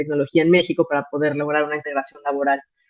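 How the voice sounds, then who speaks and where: A woman speaks at a very deep, low pitch with monotone, flat intonation. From Mexico. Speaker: migration NGO manager. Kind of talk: conference talk. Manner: hesitant, many fillers.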